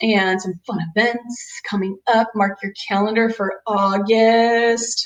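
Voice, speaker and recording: Using a normal speaking voice, the woman keeps a medium pitch and fairly even intonation. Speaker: chiropractor. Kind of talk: webinar presentation. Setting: video webinar.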